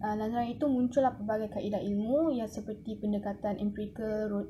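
Noticeable background noise runs under a woman speaking at a moderate pace with fairly even intonation. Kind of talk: class presentation. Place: home room. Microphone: phone near.

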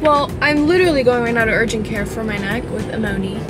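A woman talks at a fairly quick pace while clear music plays in the background. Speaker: vlogger. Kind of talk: casual vlog chat. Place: car. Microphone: phone near.

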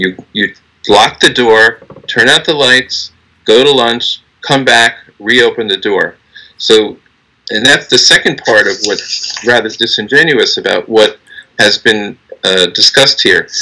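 At a fairly slow pace, the speech comes with long, frequent pauses against a quiet background. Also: man. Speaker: union lawyer. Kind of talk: legal argument in a court hearing. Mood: earnest, argumentative. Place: office.

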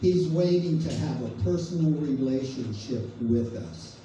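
A man's voice with ordinary pitch variation, audible room echo and light background noise. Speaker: preacher leading a devotional. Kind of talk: sermon. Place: hall.

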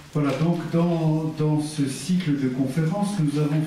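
A man speaks at a very slow pace. The room echo is audible, with light background noise. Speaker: philosophy lecturer. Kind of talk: lecture. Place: meeting room.

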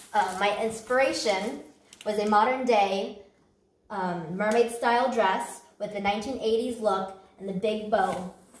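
The room echo is audible. A woman talks at a fairly slow pace. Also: ordinary pitch variation. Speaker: presenter. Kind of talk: competition presentation.

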